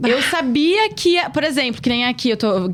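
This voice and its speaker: The voice swings very widely in pitch. Noticeable background noise runs underneath it. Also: woman. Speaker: podcast host. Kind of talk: casual interview chat. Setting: podcast studio. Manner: fast when nervous.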